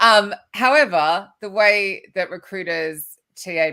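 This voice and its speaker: In a very clean recording with a silent background, a woman with an Australian accent speaks in a bright, sharp tone. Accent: Australian, noticeable. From Australia, Sydney. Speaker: recruitment author and keynote speaker. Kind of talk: podcast interview.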